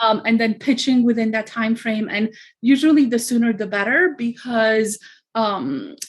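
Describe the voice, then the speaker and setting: In a slight Romanian accent, a woman with a fairly high pitch speaks at a moderate pace with ordinary pitch variation. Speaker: media pitching consultant. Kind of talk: interview. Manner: frequent fillers.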